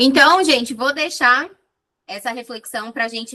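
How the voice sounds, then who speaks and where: The pitch swings very widely. The tone is bright and sharp. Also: woman. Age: 20s. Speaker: psychologist. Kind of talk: online talk to audience, lecture. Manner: informal, chatty.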